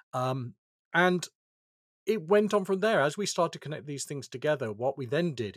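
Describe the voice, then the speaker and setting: Speaking at a fairly quick pace, a man uses lively intonation in a British accent. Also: dry, close sound with no echo. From United Kingdom. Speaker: information security executive. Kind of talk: interview.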